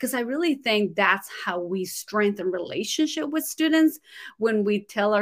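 With lively intonation and a fairly high pitch, a woman with a Spanish accent speaks in a very clean recording with a silent background. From Guatemala. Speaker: ESL teacher and author. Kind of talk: casual interview chat. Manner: animated.

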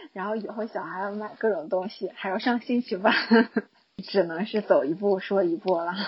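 At a moderate pace, a woman of medium pitch talks with fairly even intonation. She has an ordinary speaking voice. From Guangshan, Henan, China. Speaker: high school teacher. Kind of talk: recorded personal year-end monologue.

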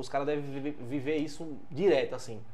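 A man delivers his words fairly quickly, and the room's echo can be heard around him. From São Paulo, Brazil, teenage years in Juazeiro region. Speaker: podcast host. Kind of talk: casual interview chat.

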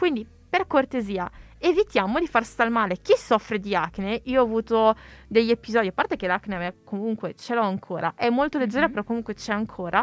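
A woman speaks fairly quickly in an unremarkable speaking voice, pitched fairly high with lively intonation. The sound is dry and close with no echo, in a very clean recording with a silent background. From Italy. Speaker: podcast co-host, university student. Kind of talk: casual chat.

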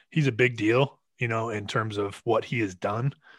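In a normal speaking voice, the speaker talks at a moderate pace with ordinary pitch variation on a very clean recording with a silent background. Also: man, dry, close sound with no echo. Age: 30s. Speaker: podcast co-host. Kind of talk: casual chat.

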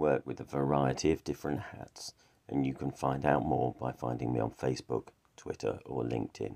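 A man speaks at a fairly quick pace with a very deep, low pitch and a dark, mellow tone. His intonation is fairly even, and there is vocal fry. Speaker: morning prayer leader. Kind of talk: fervent prayer, led devotional liturgy. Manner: earnest, fervent, heartfelt; measured, reverent, steady pace.

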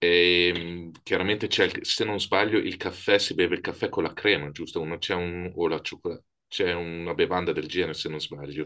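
A man speaks with a very deep, low pitch and a bright, sharp tone. He keeps his intonation monotone and flat. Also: moderate pace, quiet background. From Italy. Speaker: podcast host. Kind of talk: interview.

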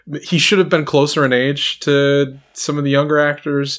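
This man speaks in an American accent at a moderate pace, with a fairly high pitch. He has an unremarkable speaking voice. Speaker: podcast host. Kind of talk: casual chat about movies.

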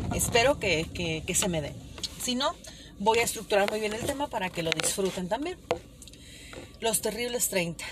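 Noticeable background noise sits behind a woman with a fairly high pitch and lively intonation. She talks at a moderate pace with long, frequent pauses. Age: 30s. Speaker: podcaster. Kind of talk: casual monologue. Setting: in a car.

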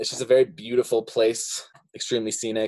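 In a normal speaking voice, a man talks at a fairly quick pace and medium pitch, with ordinary pitch variation. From Montana. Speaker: creative branding expert, former music venue manager. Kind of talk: casual interview.

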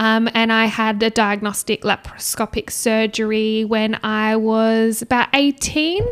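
In an Australian accent, a woman speaks in a fairly high voice with monotone, flat intonation and hardly any pauses, the sound dry and close with no echo. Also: fairly slow pace. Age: 20s. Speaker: nurse and podcast co-host. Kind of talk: casual interview.

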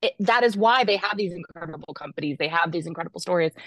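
A woman with an ordinary speaking voice, fairly low pitch and ordinary pitch variation, in dry, close sound with no echo. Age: 40s. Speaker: life coach and author. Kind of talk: interview.

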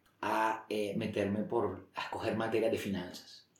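A man talks at a moderate pace in a medium pitch. Room echo is audible. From Colombia, Barranquilla (Caribbean coast). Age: 40s. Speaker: former finance executive. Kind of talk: interview. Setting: at the guest's home.

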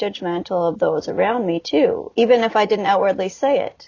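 A woman speaks at a moderate pace and medium pitch in a normal speaking voice. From Alberta, Canada (Calgary). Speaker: hypnotherapist and ex-homeschool survivor advocate. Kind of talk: interview testimony.

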